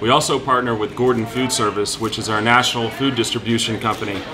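A man's fairly even intonation comes through while clear music sounds in the background. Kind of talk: promotional talk to camera. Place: cafe.

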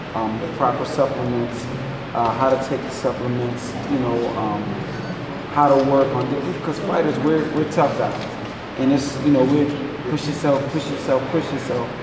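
A man at a moderate pace, with loud background noise and audible room echo. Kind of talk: interview answer. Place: gym. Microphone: handheld.

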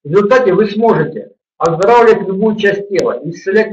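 Against a quiet background with audible room echo, a man speaks with ordinary pitch variation. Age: 50s. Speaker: yoga teacher; webinar host, practice teacher. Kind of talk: webinar lecture; sales pitch. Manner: halting, with many repetitions. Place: home room. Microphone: webcam.

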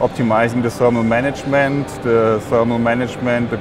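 Music runs in the background while a man speaks with fairly even intonation. The sound is dry, with no echo. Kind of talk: interview answer. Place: hall. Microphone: lapel.

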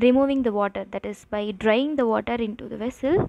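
A woman speaks, and the sound is dry with no echo. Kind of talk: tutorial. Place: kitchen.

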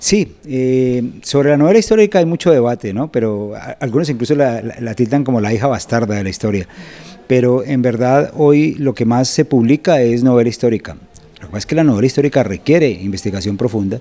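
With lively intonation, a man speaks at a fairly quick pace. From Colombia, Bogotá. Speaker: journalist and novelist; journalist. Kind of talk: interview. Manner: hesitant with fillers. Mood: calm, engaged explanation. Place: studio. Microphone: handheld.

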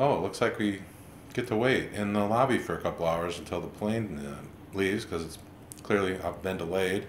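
A man's fairly low voice with audible room echo and light background noise. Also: ordinary pitch variation, moderate pace. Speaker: comic vlogger. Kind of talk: casual comedic monologue. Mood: deadpan, wry humor. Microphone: webcam.

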